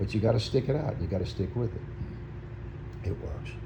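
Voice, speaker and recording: A man's voice with audible room echo. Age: 60s. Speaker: vlogger. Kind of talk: casual chat. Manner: halting.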